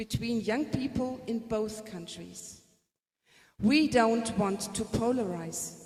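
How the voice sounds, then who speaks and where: Audible room echo surrounds a woman with a fairly high pitch. She talks at a very slow pace with ordinary pitch variation. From Germany. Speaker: music teacher. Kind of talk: presentation. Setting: conference with audience.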